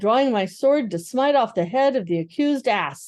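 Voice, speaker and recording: Against a quiet background, a female-sounding voice does a put-on character voice at a fairly high pitch. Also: moderate pace. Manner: terrible, menacing.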